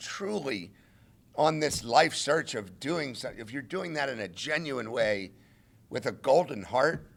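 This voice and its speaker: A man's fairly high voice with very wide pitch swings, on a very clean recording with a silent background. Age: 60s. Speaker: interim college football head coach. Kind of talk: press conference.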